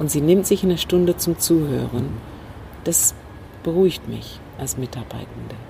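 Fairly slow, fairly low-pitched speech from a woman with lively intonation, amid noticeable background noise. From Northern Ireland. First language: English (speaking German). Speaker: communication trainer and former manager. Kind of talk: interview. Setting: rooftop terrace outdoors.

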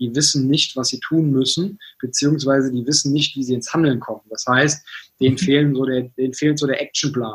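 Fairly quick, somewhat breathy speech from a man, medium in pitch, with fairly even intonation. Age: 20s. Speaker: business consultant and author. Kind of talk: interview. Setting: video call.

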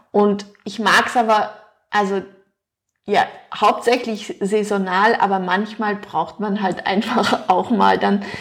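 A woman talks at a very slow pace with long, frequent pauses and fairly even intonation. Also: medium pitch for a woman. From Luxembourg. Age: 40s. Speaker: nutrition expert. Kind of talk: interview.

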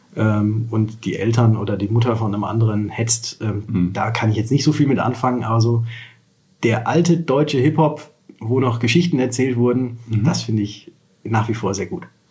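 Speaking at a moderate pace, a man uses an unremarkable speaking voice with a medium pitch and ordinary pitch variation. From Lower Saxony, Germany (Wolfenbüttel). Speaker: insurance broker. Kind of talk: interview conversation. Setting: office.

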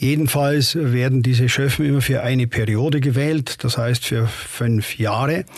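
Speech moves at a fairly slow pace with hardly any pauses and fairly even intonation. Loudness stays very even over noticeable background noise. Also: man, medium pitch for a man. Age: 60s. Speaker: retired judge. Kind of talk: interview. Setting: studio.

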